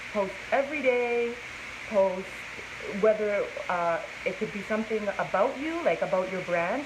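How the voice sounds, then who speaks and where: At a moderate pace, a woman with a fairly high pitch and ordinary pitch variation speaks over noticeable background noise, with audible room echo. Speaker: plus size model. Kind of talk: casual live-stream interview. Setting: inside a clothing store, Facebook live stream. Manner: naturally loud.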